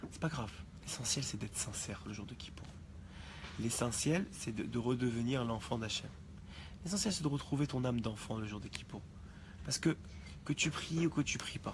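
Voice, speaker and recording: Soft-spoken and somewhat breathy, a man talks at a moderate pace. His pitch is medium. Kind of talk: religious class. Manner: halting.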